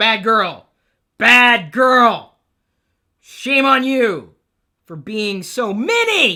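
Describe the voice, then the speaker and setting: Shouting in a put-on character voice with lively intonation, the speaker goes at a very slow pace with long, frequent pauses on a very clean recording with a silent background. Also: woman, fairly high pitch for a woman. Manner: scolding, yelling.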